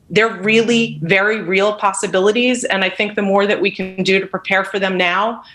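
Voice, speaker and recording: Using a normal speaking voice, a woman talks at a moderate pace with a medium pitch and fairly even intonation. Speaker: parent giving public comment. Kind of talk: public comment at virtual board meeting. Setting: video call.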